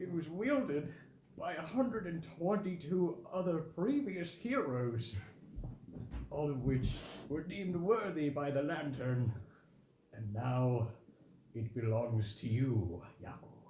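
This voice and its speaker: Shaky, fairly high male voice, put-on character voice at a fairly slow pace with long, frequent pauses and audible echo. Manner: solemn, ceremonial.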